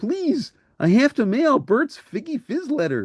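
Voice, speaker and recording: Using a put-on character voice, a man goes fairly slowly at an extremely high pitch. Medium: read story.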